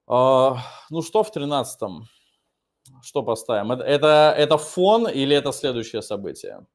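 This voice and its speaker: Over a quiet background, a man speaks at a moderate pace with lively intonation and long, frequent pauses. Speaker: English teacher. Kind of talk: online lesson, Q&A. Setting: online video class. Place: classroom. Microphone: webcam.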